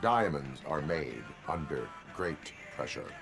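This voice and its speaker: A man puts on a character voice at a fairly slow pace while clear music plays in the background. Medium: game stream. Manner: formal, flat, no contractions.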